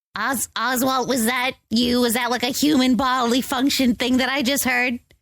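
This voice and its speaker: A put-on character voice, female-sounding and high-pitched, delivered in a monotone, flat intonation. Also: moderate pace. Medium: actual play.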